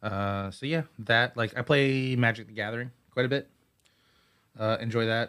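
A man speaks in a plain, everyday voice at a moderate pace. His intonation stays fairly even. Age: 30s. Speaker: musician and illustrator. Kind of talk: casual interview. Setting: studio.

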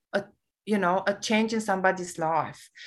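A woman speaks with a Romanian accent. Her pitch variation is ordinary. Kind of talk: casual interview.

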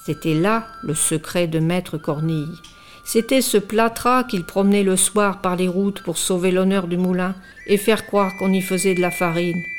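Music plays in the background as a woman talks with fairly even intonation. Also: medium pitch for a woman. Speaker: radio reader of tales. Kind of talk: dramatic narration of a read-aloud tale, in the voice of an old villager. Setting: hospital radio studio. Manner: expressive, storytelling tone, slow and suspenseful.

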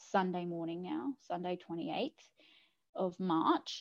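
The speaker is a woman with an Australian accent. She talks fairly slowly. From Australia, New South Wales South Coast. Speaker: mother sharing birth story. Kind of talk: personal story interview. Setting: video call.

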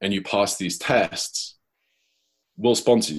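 Against a quiet background, the speaker talks with a northwest English accent. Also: man. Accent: British English, northwest England. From Cheshire, England. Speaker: professional gambler. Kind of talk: casual interview.

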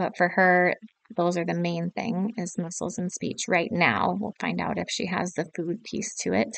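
This woman has a fairly low pitch with vocal fry. Her pitch varies in an ordinary way. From South Dakota. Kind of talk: casual chat.

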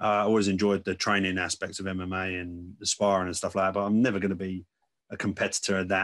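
A man with an English accent, his pitch fairly low, talking very fast with fairly even intonation over a quiet background. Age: 30s. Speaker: podcast host. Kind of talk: casual chat.

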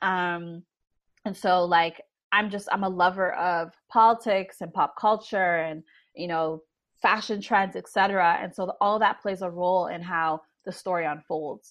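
A woman speaks at a medium pitch and a fairly slow pace, with fairly even intonation and an ordinary speaking voice. The background is quiet. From Canada, Toronto. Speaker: writer and agency executive. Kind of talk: interview. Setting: video call.

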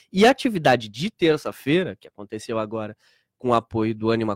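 Recorded dry and close with no echo, a man speaks with very wide pitch swings. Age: 30s. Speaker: historian and LGBT event organizer. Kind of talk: radio interview. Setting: radio studio. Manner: halting, repeats words.

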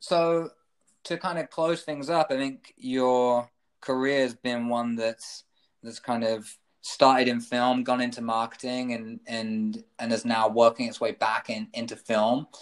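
Speaking with a British accent, a man keeps a fairly slow pace and fairly even intonation. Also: medium pitch for a man. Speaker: podcast host. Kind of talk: interview. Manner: hesitant, many fillers.

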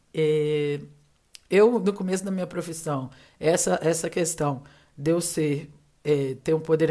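Very deep and low in pitch, this woman's voice keeps a fairly even intonation. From Minas Gerais, Juiz de Fora (born in Rio de Janeiro). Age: 30s. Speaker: advertising professional. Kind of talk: casual interview chat.

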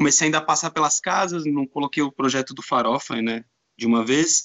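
A man with a São Paulo accent. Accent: Brazilian Portuguese, São Paulo. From Brazil, São Paulo. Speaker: DJ. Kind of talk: casual chat.

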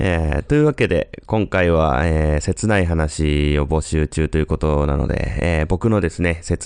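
The speech moves at a moderate pace, with noticeable background noise. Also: man. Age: 30s. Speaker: listener sending a voice memo. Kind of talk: recorded voice memo monologue. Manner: hesitant, many fillers.

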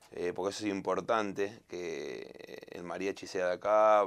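With a Rioplatense accent, a man speaks at a fairly slow pace in a fairly low pitch and a monotone, flat intonation. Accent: Argentine Spanish (rioplatense). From Argentina. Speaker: singer. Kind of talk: interview.

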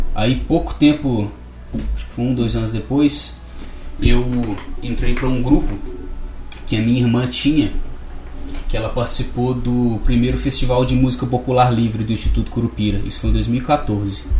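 Room echo is audible, along with noticeable background noise. A man speaks at a moderate pace with long, frequent pauses. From Brazil, Minas Gerais (Barbacena). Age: 20s. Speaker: musician. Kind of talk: radio interview. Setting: studio.

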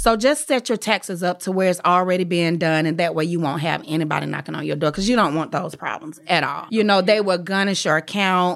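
A woman speaks in a plain, everyday voice, fairly low in pitch with ordinary pitch variation. She goes at a fairly quick pace with hardly any pauses on a very clean recording with a silent background. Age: 40s. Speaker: hairstylist and salon owner. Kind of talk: casual interview. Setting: studio.

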